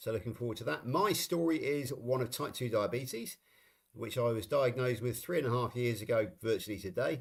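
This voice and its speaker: With a West Country accent, a man talks at a fairly quick pace and ordinary pitch variation. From England, Somerset. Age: 60s. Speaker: live stream co-host. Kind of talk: casual chat. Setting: live stream.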